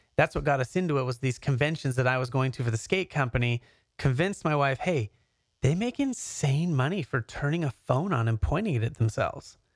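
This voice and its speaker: A man with an American accent talks at a fairly quick pace in an unremarkable speaking voice with a fairly high pitch and ordinary pitch variation. The sound is dry and close with no echo, on a very clean recording with a silent background. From Canada, then Southern California. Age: 30s. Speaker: YouTuber and serial entrepreneur. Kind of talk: casual interview chat.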